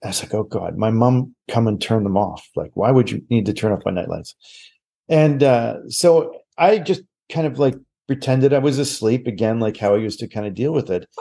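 Speaking at a moderate pace in a Maritime Canadian accent, a man has a dark, mellow tone at a medium pitch with ordinary pitch variation. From Nova Scotia, Canada. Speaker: psychic medium and TV host. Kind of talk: casual interview chat.

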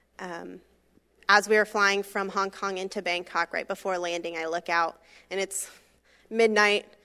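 A woman's bright, sharp voice with an American accent, monotone and flat, broken by long, frequent pauses, on a very clean recording with a silent background. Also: medium pitch for a woman, moderate pace. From Florida, Brevard County. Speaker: missionary. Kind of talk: testimony.

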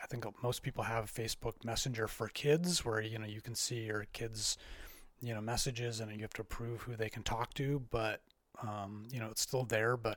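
Here is a man with an ordinary speaking voice at medium pitch. His intonation is fairly even and his pace moderate. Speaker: tech expert. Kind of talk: casual chat.

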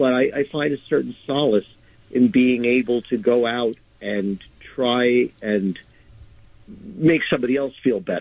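Fairly slow delivery from a man, medium in pitch and with ordinary pitch variation. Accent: New York. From Nyack, New York. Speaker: indie rock musician and charity concert organizer. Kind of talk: interview.

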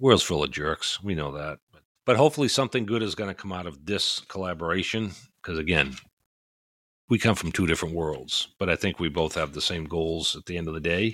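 Very deep and low, a man's voice with a slight New England accent moves at a fairly quick pace with ordinary pitch variation and big swings in loudness, on a very clean recording with a silent background. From Maine, US. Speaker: retired police officer, podcast host. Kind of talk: casual chat, podcast intro.

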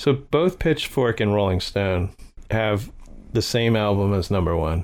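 Recorded very cleanly against a silent background, a man talks with a fairly low pitch. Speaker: podcast host. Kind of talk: casual chat.

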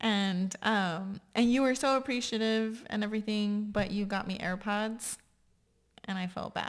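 Speaking at a fairly slow pace in a Texan accent, a woman holds a fairly high pitch with fairly even intonation on a very clean recording with a silent background. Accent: Texan American English. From Texas, San Antonio. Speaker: podcast host. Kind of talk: casual chat.

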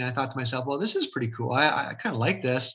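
Bright and sharp in tone, the voice speaks with an Ontario accent at a very fast pace. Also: man. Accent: Canadian (Ontario). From Fort Erie, Ontario, Canada. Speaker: realtor and community developer. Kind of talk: casual interview chat.

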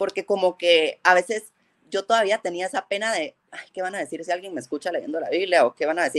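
A woman at a fairly quick pace, medium in pitch with ordinary pitch variation, in a dry, close sound with no echo. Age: 30s. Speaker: guest, childhood friend of host. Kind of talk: casual chat, faith testimony. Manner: halting with many repetitions.

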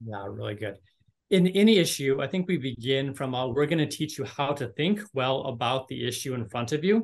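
Speaking fast-ish in a plain, everyday voice, a man keeps a medium pitch and lively intonation at a fairly quick pace. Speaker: university admissions director. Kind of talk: casual interview.

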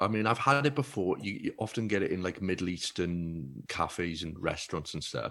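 A man with a South Wales accent speaks at a moderate pace with lively intonation. The recording is very clean with a silent background. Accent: Welsh (South Wales). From Wales (Baglan, Neath Port Talbot). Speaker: comedian. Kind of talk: casual chat.

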